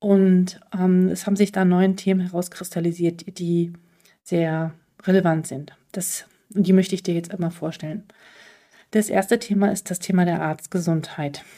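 A woman speaks at a medium pitch and a moderate pace in a dark, mellow tone. Her intonation is monotone and flat, and the recording is very clean with a silent background. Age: 40s. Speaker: podcast host, physician. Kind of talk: solo podcast monologue. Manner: hesitant with fillers.

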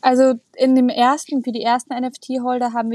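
On a dry, close recording with no echo, a woman speaks at a fairly high pitch. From Germany, Munich (Bavaria). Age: 20s. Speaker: racing driver. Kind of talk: podcast interview.

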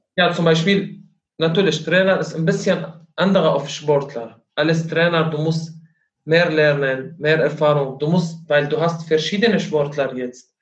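In a room with audible echo, a man speaks at a fairly slow pace. His pitch is fairly high and his intonation fairly even. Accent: Arabic. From Syria. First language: Arabic (speaking German). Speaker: kickboxing coach. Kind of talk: interview. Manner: halting.

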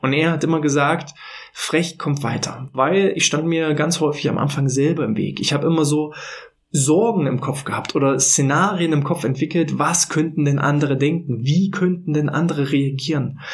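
At a moderate pace, a man talks in a fairly high pitch with fairly even intonation and very even loudness, over noticeable background noise. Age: 30s. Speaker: podcast host on workplace health management. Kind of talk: solo podcast monologue. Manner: casual with filler words.

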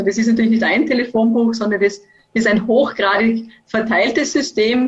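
A woman speaks in an ordinary speaking voice, fairly high in pitch, with fairly even intonation. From Austria, Vorarlberg. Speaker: university professor, network expert. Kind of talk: expert interview. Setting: video call.

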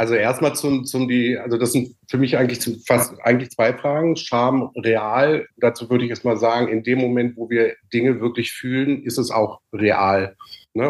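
The pace is moderate, with fairly even intonation. It is a normal speaking voice. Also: man. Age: 50s. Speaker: coach and former musical performer. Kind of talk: casual chat.

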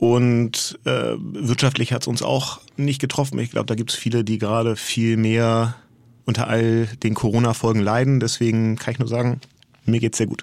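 A man's normal speaking voice at a medium pitch, moderate pace and fairly even intonation. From Hamburg, northern Germany. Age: 40s. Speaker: agency co-founder. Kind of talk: interview conversation. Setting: studio.

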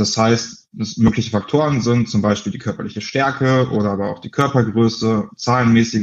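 A man talks in a plain, everyday voice, keeping a medium pitch, a moderate tempo and fairly even intonation. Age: 20s. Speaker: founder of an anti-bullying association, social sciences student. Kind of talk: interview.

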